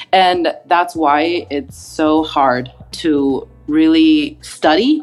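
A woman speaks with very wide pitch swings. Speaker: speech therapist. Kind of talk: casual interview, expert advice.

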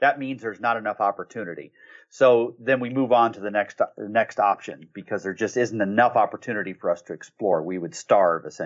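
A man with a normal speaking voice talks at a fairly quick pace in a medium pitch with ordinary pitch variation. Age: 50s. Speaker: marketing agency consultant and author. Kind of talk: interview.

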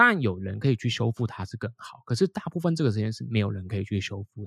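Talking at a very fast pace with very wide pitch swings, a somewhat breathy man is heard in a very clean recording with a silent background and a dry, close sound with no echo. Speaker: English teacher and podcaster. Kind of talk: casual interview chat.

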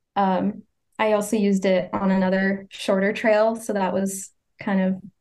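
A woman speaks at a fairly slow pace in a medium pitch, her intonation monotone and flat. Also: long, frequent pauses, very even loudness. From Maine, US (small town north of Portland). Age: 20s. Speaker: long-distance hiker. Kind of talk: interview.

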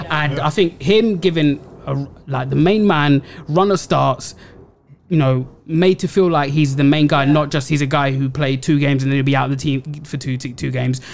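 With a London accent, a man speaks at a moderate pace. His voice is fairly high, with ordinary pitch variation. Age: 30s. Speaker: football podcast co-host. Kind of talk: casual chat.

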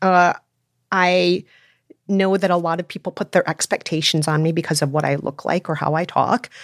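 A plain, everyday voice speaks in an American accent at a moderate pace with fairly even intonation. The recording is very clean, with a silent background and a dry, close sound with no echo. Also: woman, fairly low pitch for a woman. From Minnesota, US. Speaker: podcast host and film commentator. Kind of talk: casual panel discussion.

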